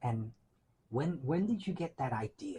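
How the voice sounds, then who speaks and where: A somewhat breathy man speaks at a moderate pace with very wide pitch swings. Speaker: librarian and archivist. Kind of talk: interview questions.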